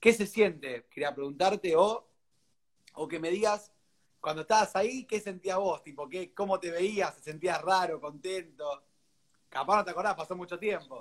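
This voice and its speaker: A man's high-pitched voice with big swings in loudness. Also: ordinary pitch variation, moderate pace. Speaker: interview host. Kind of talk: interview.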